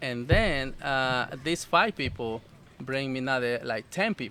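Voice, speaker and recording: Speaking at a fairly slow pace, a man with a Salvadoran accent uses lively intonation and a bright, sharp tone. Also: medium pitch for a man. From El Salvador. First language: Spanish. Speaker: food business owner. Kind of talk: casual interview. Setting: outdoors at festival. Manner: halting, many fillers.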